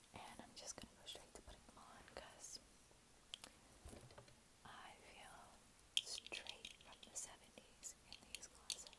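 The voice belongs to a woman who speaks in a whisper. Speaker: ASMR creator. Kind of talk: ASMR whisper rambling. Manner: whispered, soft. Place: home room. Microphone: earbuds.

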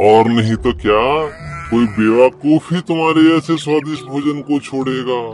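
A man's put-on character voice at a medium pitch, fairly slow with hardly any pauses, over clear background noise. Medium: read story. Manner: greedy, boastful, then grudgingly kind.

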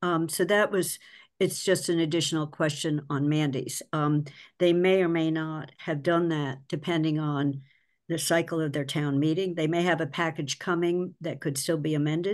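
Her voice is very deep and low for a woman, with fairly even intonation. She keeps a moderate pace against a quiet background. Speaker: finance committee member. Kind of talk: public committee meeting discussion. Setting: video call. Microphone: video call.

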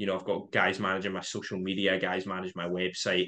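A man speaks at a moderate pace. His very deep, low voice has a bright, sharp tone. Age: 20s. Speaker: trader and trading educator; trading educator. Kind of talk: podcast interview. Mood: relaxed, friendly. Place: home room. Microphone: webcam.

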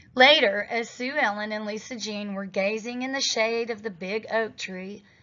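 What you hear is plain reading aloud.

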